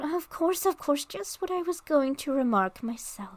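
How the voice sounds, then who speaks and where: In a put-on character voice, the speaker mumbles at a moderate pace, hoarse and high-pitched. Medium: read story. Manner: sleepy, mumbling.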